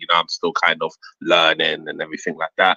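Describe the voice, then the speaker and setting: A man speaks with a British accent at a fairly quick pace. The sound is dry and close, with no echo. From London, England, Jamaican heritage. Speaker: comic book creator and educator. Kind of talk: interview. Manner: halting, many fillers.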